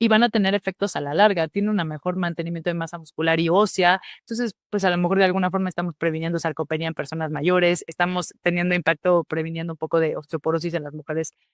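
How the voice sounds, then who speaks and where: The speech runs very fast with hardly any pauses, on a very clean recording with a silent background. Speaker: physician lecturer. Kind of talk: lecture.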